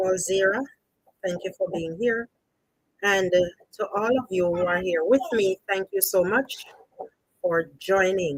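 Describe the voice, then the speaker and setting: A woman with a Jamaican accent speaks at a medium pitch, with ordinary pitch variation. She leaves long, frequent pauses. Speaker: storytelling channel host. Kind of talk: live stream chat.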